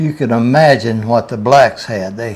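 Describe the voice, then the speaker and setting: A man with a Southern US accent and lively intonation. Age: 90s. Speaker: grandfather telling Depression memories. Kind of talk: interview.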